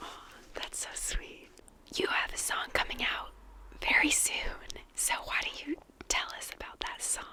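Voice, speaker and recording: Whispering at a fairly slow pace with long, frequent pauses, a woman's loudness swings widely against noticeable background noise. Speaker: ASMR interviewer. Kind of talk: interview question.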